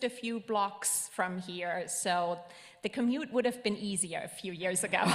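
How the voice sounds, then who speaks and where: A woman speaks at a medium pitch with a slight German accent. Her pitch varies in an ordinary way. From Germany. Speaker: ministry student and intern. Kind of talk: self-introduction to congregation. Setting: church service.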